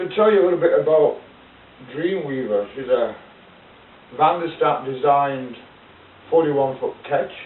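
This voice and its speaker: A man with a British accent and a fairly high voice, at a moderate pace with long, frequent pauses, over noticeable background noise. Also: ordinary pitch variation. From United Kingdom. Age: 60s. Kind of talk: casual talk to camera. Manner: rambling, hesitant.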